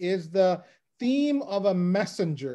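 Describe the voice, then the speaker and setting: Against a quiet background, a man with a high pitch and a dark, mellow tone speaks at a fairly slow pace with lively intonation. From United States. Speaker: lay Bible teacher. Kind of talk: Bible lecture. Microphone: video call.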